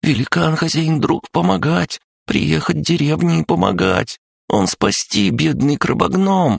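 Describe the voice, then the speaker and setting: A man performs a put-on character voice at a fairly low pitch. His pitch swings very widely. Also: moderate pace. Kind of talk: broken, simplified grammar. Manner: frightened, pleading.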